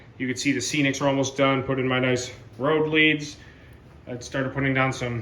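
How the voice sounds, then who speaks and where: In a room with audible echo, a man with a fairly high pitch talks at a moderate pace in a monotone, flat intonation. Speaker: model railroad hobbyist video host. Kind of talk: casual video walkthrough. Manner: casual with fillers.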